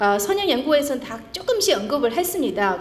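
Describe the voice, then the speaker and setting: Against noticeable background noise and audible room echo, a high-pitched woman swings her pitch very widely. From China. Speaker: historian, conference presenter. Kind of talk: academic presentation. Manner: halting, many fillers.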